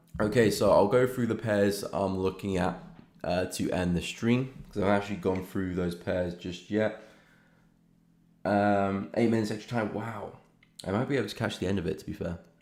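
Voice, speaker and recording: Speaking in a British accent, a man keeps a moderate pace, fairly low pitch and fairly even intonation. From England, London. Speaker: forex trader and live streamer. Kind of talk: live stream chart analysis. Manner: casual, relaxed.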